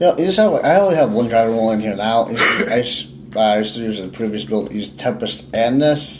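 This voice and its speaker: Against noticeable background noise and audible room echo, a man with a medium pitch talks at a very fast pace with lively intonation. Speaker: card game YouTuber. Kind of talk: casual chat.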